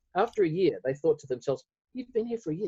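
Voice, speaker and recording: A man with an Australian accent has a dark, mellow, somewhat breathy tone. His intonation is lively, and the sound is dry and close with no echo. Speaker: lead pastor. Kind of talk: casual chat.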